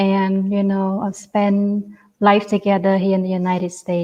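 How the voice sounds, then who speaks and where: A dark, mellow voice with a Cambodian accent, fairly slow and monotone with flat intonation, over a quiet background. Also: woman. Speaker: genocide survivor and refugee. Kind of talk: testimony. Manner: halting, with repetitions.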